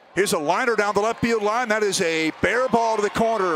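Over crowd noise in the background, a man talks at a moderate pace in a high voice. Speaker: baseball play-by-play announcer. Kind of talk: live sports commentary, highlight reel of baseball play-by-play. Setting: minor league ballpark broadcast, highlights video.

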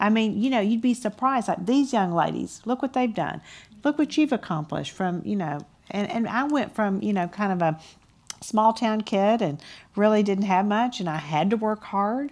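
With a Texan accent, a woman talks at a moderate pace and medium pitch, her pitch swinging very widely. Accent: Texan Southern US. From Texas. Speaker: business founder. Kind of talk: panel discussion. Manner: candid. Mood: motivational, warm. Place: stage. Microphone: headset.

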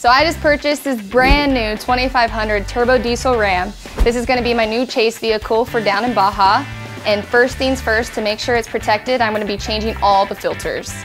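A woman talks at a fairly quick pace with clear music in the background. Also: fairly even intonation. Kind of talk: casual sponsored vlog tour. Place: garage.

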